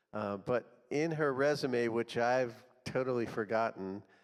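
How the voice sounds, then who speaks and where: In a very clean recording with a silent background, a man with a plain, everyday voice speaks at a fairly slow pace and medium pitch, with ordinary pitch variation. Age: 60s. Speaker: church group leader. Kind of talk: event introduction.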